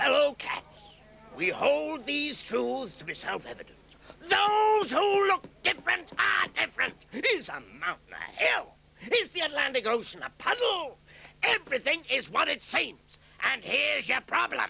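A man does a cartoonish character voice. It sits at an extremely high pitch. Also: moderate pace. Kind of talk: British dub of a cartoon. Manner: sneering, demagogic speechmaking.

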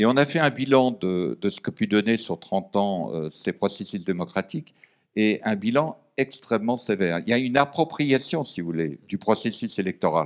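A man with an unremarkable speaking voice talks at a fairly slow pace in a fairly low pitch, his intonation lively against a quiet background. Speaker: former diplomat and lecturer; lecturer. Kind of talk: panel discussion. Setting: stage with audience. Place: meeting room. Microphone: podium.

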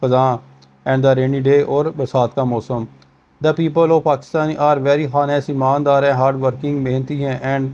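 Speaking fairly slowly, a man with a fairly high voice keeps a flat, monotone intonation. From Pakistan. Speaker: teacher. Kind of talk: lecture. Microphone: phone near.

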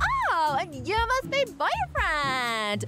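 Faint music plays behind a high, shrill put-on character voice. The pitch stays high throughout. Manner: fake-sweet, grating.

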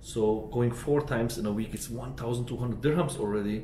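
A man speaks in a dark, mellow tone with vocal fry and ordinary pitch variation. There is audible room echo and light background noise. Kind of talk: casual vlog chat. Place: home room.

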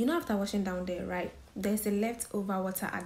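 Somewhat breathy and dark, mellow in tone, a woman speaks at a fairly quick pace with ordinary pitch variation. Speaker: lifestyle vlogger. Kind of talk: casual vlog chat. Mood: earnest, advice-giving. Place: home room. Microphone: phone near.

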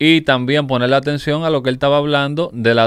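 A man with an ordinary speaking voice talks at a medium pitch with fairly even intonation, the sound dry with no echo against a quiet background. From Dominican Republic. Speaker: online news show host. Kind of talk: interview. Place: studio. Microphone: studio mic.

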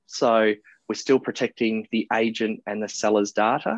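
A man with an Australian accent talks at a moderate pace and medium pitch, the sound dry with no echo and the background quiet. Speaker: property marketplace founder. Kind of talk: interview. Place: office. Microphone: earbuds.

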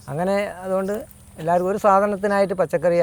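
A man speaks at a high pitch. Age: 50s. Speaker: farmer. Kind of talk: interview.

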